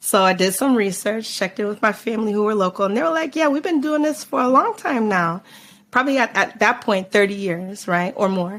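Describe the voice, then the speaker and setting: A woman with a normal speaking voice and an American accent talks at a fairly quick pace, her fairly high pitch full of lively intonation. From United States, Jamaican parents. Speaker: carnival band founder. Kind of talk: podcast interview. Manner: casual, many filler words.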